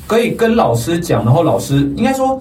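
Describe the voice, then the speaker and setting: Clear background noise and audible room echo surround a man talking at a medium rate. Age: 30s. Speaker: teacher trainer. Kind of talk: casual chat.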